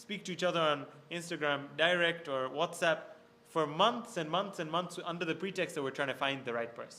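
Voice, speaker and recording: With audible room echo, a man speaks at a fairly quick pace in a high pitch, his tone bright and sharp and his pitch variation ordinary. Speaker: religious scholar. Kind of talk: lecture. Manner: fast.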